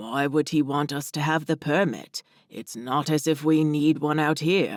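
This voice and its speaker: A man growls in a put-on character voice. His intonation stays fairly even. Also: fairly high pitch for a man, moderate pace, very clean recording, silent background. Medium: read story. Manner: polite, gentle, slightly formal.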